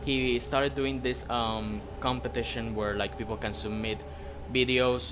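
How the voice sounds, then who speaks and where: A man with a non-native accent speaks at a fairly slow pace and fairly low pitch, with very wide pitch swings. Audible room echo and noticeable background noise fill the recording. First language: not English. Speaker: gaming YouTuber. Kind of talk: gameplay commentary outro. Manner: hesitant, many fillers.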